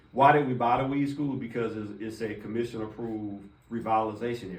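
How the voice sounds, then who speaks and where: Delivered at a very fast pace with fairly even intonation, the speech carries audible room echo and noticeable background noise. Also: man. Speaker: city housing department official presenting to commissioners. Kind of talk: briefing presentation to officials.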